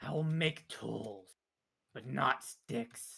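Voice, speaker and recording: In a put-on character voice, a man speaks at a medium pitch. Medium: machinima. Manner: blunt, terse, clipped; broken, simple grammar.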